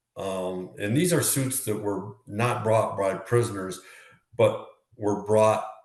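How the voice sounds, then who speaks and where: Very slow speech from a man with a fairly low pitch, plus audible room echo. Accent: American. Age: 60s. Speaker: former prisoner. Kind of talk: interview. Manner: hesitant, many fillers.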